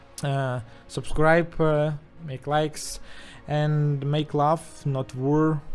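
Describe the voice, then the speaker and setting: Very slow, strongly Russian-accented speech with long, frequent pauses and music in the background. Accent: strong Russian. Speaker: YouTuber, war footage commentator. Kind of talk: video commentary. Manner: halting, many filler sounds.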